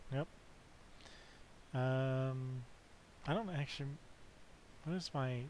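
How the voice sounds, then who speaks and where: A man speaks quietly at medium pitch and a very slow pace. His speech has long, frequent pauses. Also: ordinary pitch variation. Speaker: video game streamer. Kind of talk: casual chat.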